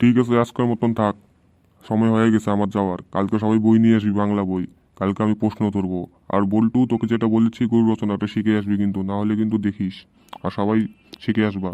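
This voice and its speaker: A gruff, put-on character voice from a man, fairly low in pitch, fairly quick and monotone with flat intonation. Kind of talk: comic village rough talk. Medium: cartoon. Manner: gruff, threatening.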